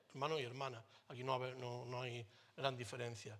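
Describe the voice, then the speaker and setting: This is a man talking. His tone is bright and sharp. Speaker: pastor. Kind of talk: sermon. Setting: church. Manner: animated.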